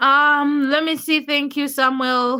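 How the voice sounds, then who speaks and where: A woman speaks in a bright, sharp tone with a Ugandan accent. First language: not English, a Ugandan language. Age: 20s. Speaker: livestreamer. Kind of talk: casual livestream chat reading comments. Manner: casual, chatty with hesitations.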